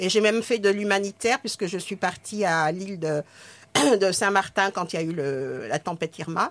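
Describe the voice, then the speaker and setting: A woman with an unremarkable speaking voice talks at a fairly slow pace with ordinary pitch variation. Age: 60s. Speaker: retired nurse and actress. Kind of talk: casual chat.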